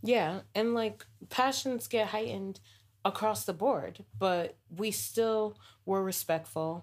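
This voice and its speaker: On a very clean recording with a silent background, a woman with an American accent speaks very slowly, her pitch varying in an ordinary way. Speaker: podcast host. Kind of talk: casual conversation about race.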